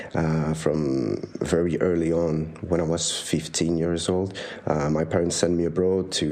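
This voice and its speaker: A man speaks with a very deep, low pitch and fairly even intonation. Noticeable background noise runs underneath. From Switzerland. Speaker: master's student. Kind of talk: interview. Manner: hesitant, many fillers.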